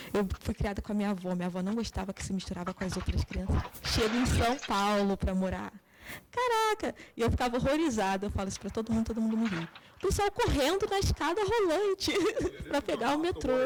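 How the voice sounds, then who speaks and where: A soft-spoken woman at a fairly quick pace, amid noticeable background noise. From Brazil, Petrópolis (Rio de Janeiro state). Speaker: psychologist. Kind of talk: interview.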